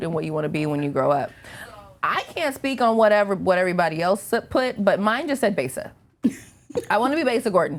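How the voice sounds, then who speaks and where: The speech races at a very fast pace with very wide pitch swings. Long pauses break it up often. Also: woman, medium pitch for a woman. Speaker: radio host; media personality. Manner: conversational, sounds like herself rather than a put-on announcer voice.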